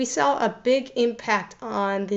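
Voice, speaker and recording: Audible room echo surrounds a voice whose pitch shifts in an ordinary way. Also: woman. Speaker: education researcher. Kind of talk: keynote talk. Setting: remote presentation to a conference.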